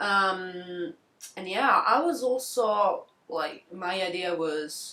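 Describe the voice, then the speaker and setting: Speaking in an Italian accent, a woman uses a medium pitch and lively intonation. Her pace is very slow. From southern Italy, near Naples. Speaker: podcast co-host. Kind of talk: casual chat.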